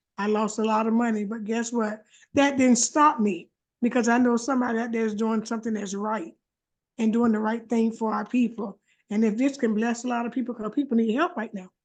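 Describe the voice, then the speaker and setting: Against a quiet background, a woman talks at a fairly quick pace with a fairly high pitch and fairly even intonation. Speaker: participant sharing testimony. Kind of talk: testimony. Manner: loud.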